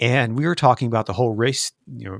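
A man speaks at a very fast pace with vocal fry. The sound is dry and close, with no echo. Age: 50s. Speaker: documentary filmmaker and podcast host. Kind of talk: interview conversation.

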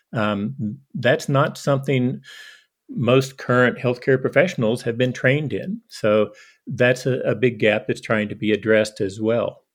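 A man speaks in an ordinary speaking voice at a medium pitch, with ordinary pitch variation. His pace is fairly slow against a quiet background. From eastern Kentucky, US. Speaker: physician. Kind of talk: interview.

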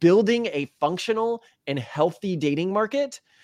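Very wide pitch swings mark this voice with an American accent, recorded with a dry, close sound and no echo. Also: man, very clean recording, silent background. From Texas. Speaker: podcast co-host. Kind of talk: casual chat.

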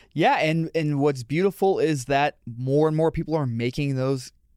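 With a Midwestern American accent, a man speaks at a moderate pace and fairly high pitch with ordinary pitch variation, in a very clean recording with a silent background and a dry, close sound with no echo. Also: very even loudness. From Michigan, Detroit area. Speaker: animal rights advocate. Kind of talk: casual interview. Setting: studio.

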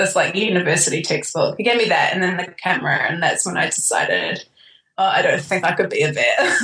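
In a New Zealand accent, a woman talks at a fairly quick pace with very even loudness. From raised in New Zealand, born in Queensland, Australia. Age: 20s. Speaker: wedding photographer, podcast guest. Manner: laughs often, chatty.

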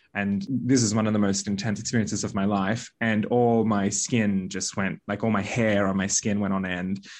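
A man's fairly low voice in an Australian accent, at a moderate pace with fairly even intonation and hardly any pauses. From Australia (Balinese Australian, raised in Australia and Bali). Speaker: witch and spiritual teacher. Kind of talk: interview conversation.

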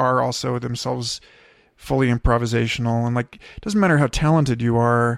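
A man with an unremarkable speaking voice talks at a fairly quick pace and medium pitch, his intonation fairly even, in a dry, close sound with no echo on a very clean recording with a silent background. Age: 30s. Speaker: podcast host. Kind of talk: casual chat. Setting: in-person recording sitting on a bed.

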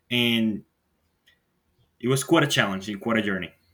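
A man speaks with a bright, sharp tone. His pitch sits fairly low. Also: ordinary pitch variation, moderate pace.

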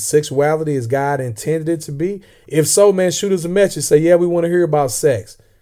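The tone is dark and mellow, with ordinary pitch variation and a moderate pace, in a very clean recording with a silent background. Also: man. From Southern Illinois, US. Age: 40s. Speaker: podcast co-host. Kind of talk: casual chat, faith discussion.

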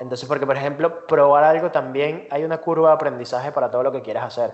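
The speech moves at a fairly quick pace with hardly any pauses. Intonation stays monotone and flat. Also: man. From Venezuela. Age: 20s. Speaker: designer and entrepreneur. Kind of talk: interview. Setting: remote call.

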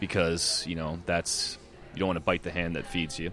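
A man speaks with music in the background. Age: 30s. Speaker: musician in a reunited band. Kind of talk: casual chat. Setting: public space.

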